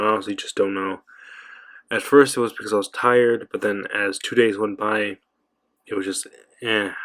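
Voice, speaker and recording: A man with a fairly low pitch talks at a moderate pace, leaving long, frequent pauses. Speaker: anime reviewer. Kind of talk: casual review monologue. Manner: monotone; subdued, not animated.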